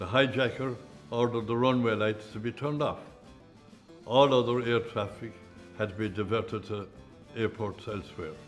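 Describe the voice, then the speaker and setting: A man with an Irish accent talks at a moderate pace, leaving long, frequent pauses while faint music plays in the background. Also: fairly even intonation. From Ireland. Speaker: press photographer. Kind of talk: interview recollection. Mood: relaxed, wry recollection. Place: home room.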